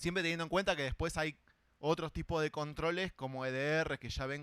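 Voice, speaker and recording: A man speaks with a Rioplatense accent. The recording is very clean, with a silent background. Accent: Argentine Rioplatense Spanish. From Argentina. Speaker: cybersecurity conference speaker. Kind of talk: conference talk. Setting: stage with audience. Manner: casual, conversational.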